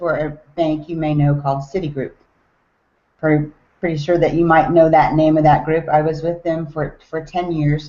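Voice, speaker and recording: In a Southern US accent, a woman speaks at a moderate pace with a very deep, low pitch. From US South, Tennessee. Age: 40s. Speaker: network marketing distributor. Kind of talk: online webinar talk.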